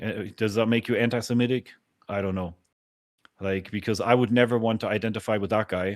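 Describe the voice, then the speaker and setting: A man talks at a fairly quick pace in a fairly low voice with monotone, flat intonation. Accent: German. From Germany. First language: German. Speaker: podcast host. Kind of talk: casual chat. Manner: halting.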